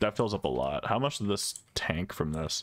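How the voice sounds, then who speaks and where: Using vocal fry, a man speaks with very wide pitch swings. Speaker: gaming YouTuber. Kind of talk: gameplay commentary, casual. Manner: casual, rambling.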